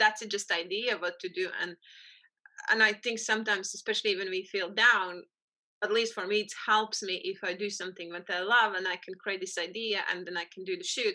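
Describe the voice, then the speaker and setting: Quick-paced and nearly flat, a woman with a strong Latvian accent talks at medium pitch in a bright, sharp tone with monotone intonation. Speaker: photographer. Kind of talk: interview conversation. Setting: podcast recording.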